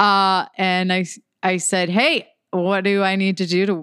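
On a very clean recording against a silent background, a woman talks with an American accent. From US Midwest, Detroit, Michigan. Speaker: car brand marketing manager and comedian. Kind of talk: casual chat. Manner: animated.

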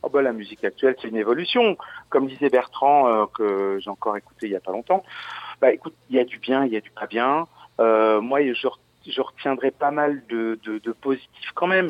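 Using a normal speaking voice, a man talks at a moderate pace with a medium pitch, ordinary pitch variation and big swings in loudness. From Lorraine, France (Verdun). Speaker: DJ and remixer. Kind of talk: casual interview. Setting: phone call.

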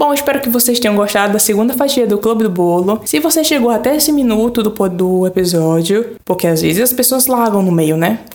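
Against noticeable background noise, a woman speaks fairly quickly with hardly any pauses, her fairly high voice animated, lively in intonation and very even in loudness. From Brazil, Pernambuco (Floresta). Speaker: podcast host. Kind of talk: casual monologue.

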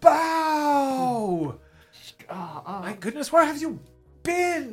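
Over faint music in the background, a female-sounding voice performs a put-on character voice with very wide pitch swings. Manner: excitable, gushing.

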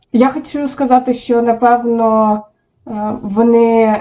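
Her pitch is fairly high. The woman's intonation remains fairly even. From Ukraine, Poltava region. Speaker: online psychologist. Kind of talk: casual chat. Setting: home kitchen.

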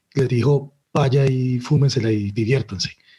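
Ordinary pitch variation marks this somewhat breathy voice. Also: man. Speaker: film podcast guest. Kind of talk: casual chat.

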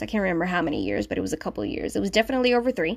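A woman is speaking. She talks with a Spanish accent. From Puerto Rico. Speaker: podcast host and sewing blogger. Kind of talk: casual solo podcast intro. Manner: informal, conversational.

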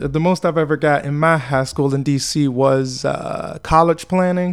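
On a very clean recording with a silent background, a man with a normal speaking voice talks at a fairly high pitch with fairly even intonation. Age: 20s. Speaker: podcast host and aspiring comedian. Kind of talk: casual monologue.

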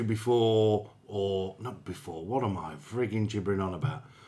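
A man speaks in a normal speaking voice, his pitch fairly low. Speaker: podcast host. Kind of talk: casual banter. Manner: joking, chatty.

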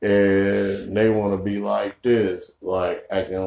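A man's fairly low-pitched voice with a dark, mellow tone. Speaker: podcast co-host. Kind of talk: casual chat. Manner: loud, voice carries.

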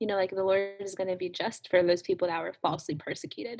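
This woman has a plain, everyday voice at a medium pitch. Her intonation is fairly even. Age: 20s. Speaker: youth minister. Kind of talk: casual chat.

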